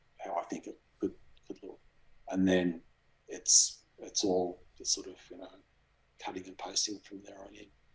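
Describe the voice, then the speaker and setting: Speaking at a moderate pace, a man has an Australian accent. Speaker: graphic designer and cardboard model maker. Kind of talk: interview answer. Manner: soft-spoken.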